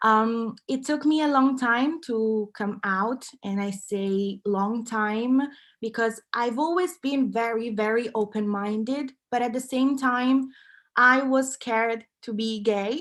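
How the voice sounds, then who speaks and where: A woman speaks at a very slow pace with a fairly high pitch and ordinary pitch variation. The recording is very clean, with a silent background. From Italy, Milan. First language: Italian. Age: 20s. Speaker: content creator and activist. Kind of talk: talk.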